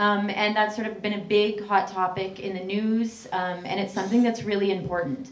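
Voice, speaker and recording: The speech runs at a moderate pace with fairly even intonation and hardly any pauses. Background noise is noticeable, and room echo can be heard. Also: woman, medium pitch for a woman. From Canada. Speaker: human rights activist. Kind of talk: public talk.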